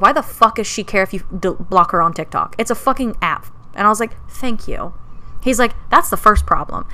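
A woman speaks in an animated tone. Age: 20s. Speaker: podcast co-host. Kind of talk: casual chat.

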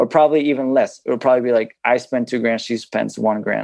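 Against a quiet background, a man talks fairly quickly in an ordinary speaking voice, medium in pitch, with fairly even intonation. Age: 30s. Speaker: podcast guest seeking couples money coaching. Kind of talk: couples coaching conversation.

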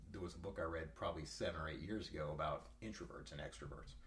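A man with an American accent talks at a fairly quick pace, showing vocal fry. His pitch swings very widely, and room echo is audible. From eastern Ohio, US. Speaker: gym member. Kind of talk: casual chat. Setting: in person, over coffee.

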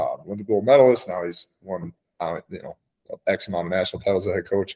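A man speaks with lively intonation. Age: 20s. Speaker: former college wrestler and coach, business owner. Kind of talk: casual chat. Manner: halting, many fillers.

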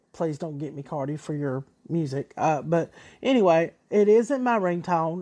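A woman speaks with a Southern US accent at a fairly low pitch. The background is quiet. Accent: country, Southern US. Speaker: podcast host. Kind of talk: casual solo podcast monologue. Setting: recorded on a cell phone, ringtone in background. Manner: casual, enthusiastic, a bit halting.

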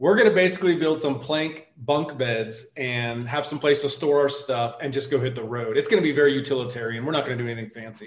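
With an American accent, a man speaks at a very fast pace with hardly any pauses and ordinary pitch variation. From US South, suburban Atlanta. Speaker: army veteran and overlanding blogger. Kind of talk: casual interview chat.

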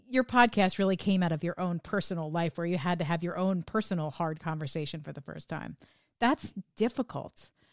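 A woman with an American accent speaks at a fairly quick pace in a fairly low voice with lively intonation. The sound is dry and close with no echo, on a very clean recording with a silent background. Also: big swings in loudness. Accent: sanitized New Jersey, slight. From New Jersey. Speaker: podcast host. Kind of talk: interview conversation, casual.

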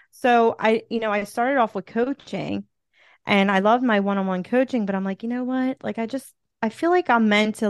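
Against a quiet background, a woman with a Philadelphia accent speaks fairly quickly at a fairly high pitch. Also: dry, close sound with no echo. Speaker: TV host, author and motivational speaker. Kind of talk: casual interview chat.

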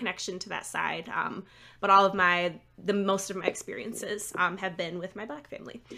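Speaking at a fairly quick pace, a woman with an American accent uses a bright, sharp tone at medium pitch. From Michigan, Lansing area. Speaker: school psychologist and author. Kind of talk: casual interview chat.

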